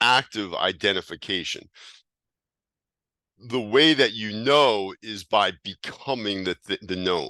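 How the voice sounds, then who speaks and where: Against a quiet background, a man with a fairly low voice and a bright, sharp tone speaks at a very slow pace with lively intonation. His delivery has long, frequent pauses, and the sound is dry and close with no echo. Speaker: teacher of hermetic esotericism. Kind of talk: lecture. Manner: halting.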